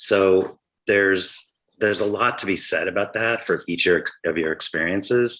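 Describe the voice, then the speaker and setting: With an American accent and a bright, sharp tone, the voice moves at a fairly slow pace with fairly even intonation and very even loudness. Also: man, fairly low pitch for a man. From Colorado, Denver. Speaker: art professor, program director. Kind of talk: interview on video call.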